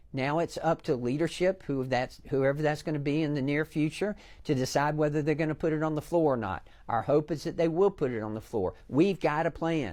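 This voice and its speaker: Speaking with a Southern US accent, a man talks at a fairly quick pace with hardly any pauses. His pitch is fairly high, with ordinary pitch variation. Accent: Southern American. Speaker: congressman and former pharmacist. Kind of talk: TV interview. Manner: animated.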